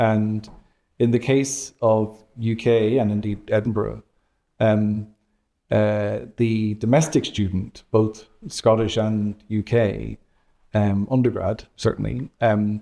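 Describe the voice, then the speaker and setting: At a very slow pace, a man with a fairly low pitch and a dark, mellow tone speaks with fairly even intonation in a very clean recording with a silent background. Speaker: university vice-principal and economics professor. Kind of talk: interview. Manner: hesitant, many fillers.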